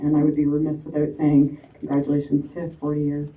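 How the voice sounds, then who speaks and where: A woman with a very deep, low pitch talks at a fairly quick pace. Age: 30s. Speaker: panel moderator. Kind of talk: panel introduction. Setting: stage with audience. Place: hall.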